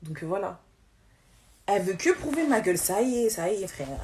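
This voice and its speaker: A woman speaks with a medium pitch. Her voice is somewhat breathy. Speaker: social media influencer. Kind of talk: livestream rant. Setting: live stream. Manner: fast; halting, repeating words.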